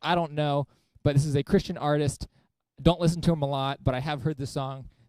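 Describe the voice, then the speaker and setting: A man's fairly high-pitched voice with a dry, close sound and no echo. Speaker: youth ministry host. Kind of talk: live game show stream. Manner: casual, halting with fillers.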